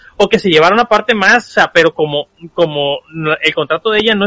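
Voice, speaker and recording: A man speaks at a fairly quick pace in a raised, projected voice with a bright, sharp tone. The sound is dry and close with no echo, and his pitch varies in an ordinary way. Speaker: podcast co-host. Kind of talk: casual chat.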